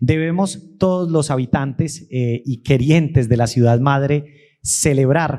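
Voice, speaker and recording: A fairly slow male voice of medium pitch, dark and mellow in tone, with ordinary pitch variation. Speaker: historian, event moderator. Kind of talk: public talk at museum event. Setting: museum event with audience.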